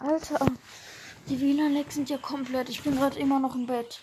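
At a moderate pace, a woman with a high pitch speaks with long, frequent pauses. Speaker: gaming podcaster. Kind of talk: live gameplay commentary. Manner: animated.

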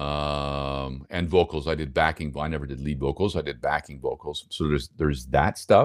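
Speaking at a moderate pace, a man with a Montreal accent has a very deep, low pitch. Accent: Montreal English Canadian. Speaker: broadcast voice-over announcer. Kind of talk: interview. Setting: video call. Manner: halting, many repeated words.

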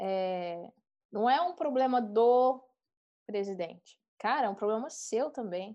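At a very slow pace, a woman with a fairly high pitch speaks with lively intonation. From Brazilian countryside. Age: 30s. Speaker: product designer. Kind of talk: casual chat.

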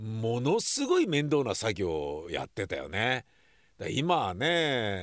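Very wide pitch swings at a very slow pace. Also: man, medium pitch for a man. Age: 60s. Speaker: podcast host. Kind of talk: casual vlog-style monologue. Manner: casual, conversational with frequent fillers.

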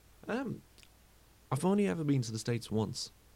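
At a moderate pace, a man with a British accent talks with lively intonation. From UK. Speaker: football fan podcaster. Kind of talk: solo podcast monologue. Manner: casual, with frequent fillers.

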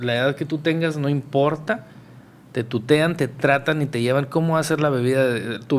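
The man's pitch sits fairly high, with ordinary pitch variation. He has an ordinary speaking voice. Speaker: podcast host. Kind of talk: casual chat.

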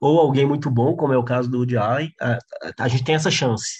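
Against a quiet background, a man speaks with a somewhat breathy, medium-pitched voice and ordinary pitch variation. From interior of Minas Gerais, Brazil. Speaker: stand-up comedian and comedy writer. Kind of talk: casual chat.

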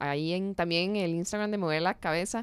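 A woman with a Costa Rican accent speaks at a moderate pace in a fairly low pitch with ordinary pitch variation, the sound dry and close with no echo on a very clean recording with a silent background. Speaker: podcast host, sports journalist. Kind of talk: interview.

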